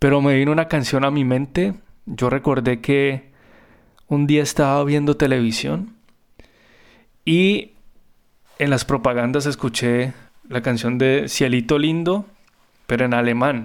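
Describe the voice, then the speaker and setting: Speaking at a fairly slow pace with long, frequent pauses, a man uses a medium pitch. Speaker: music therapist and podcast host. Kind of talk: personal storytelling narration.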